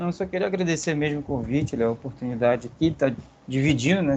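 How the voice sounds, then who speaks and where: An ordinary speaking voice from a man, fairly high in pitch and at a fairly quick pace. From Brazil, Volta Redonda (Rio de Janeiro state). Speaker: history researcher. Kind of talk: podcast interview.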